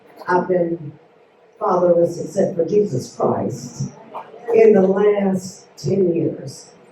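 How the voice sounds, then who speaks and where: Audible room echo and noticeable background noise accompany a woman talking at a very slow pace. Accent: American. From West Virginia. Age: 60s. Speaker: constituent speaking at town hall. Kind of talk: public comment at town hall. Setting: town hall meeting with audience.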